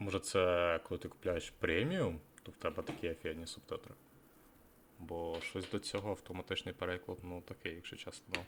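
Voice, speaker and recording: Very fast, in a very deep, low voice, a man speaks with a Ukrainian accent and monotone, flat intonation. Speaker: streamer reacting to a video. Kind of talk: casual live-stream commentary.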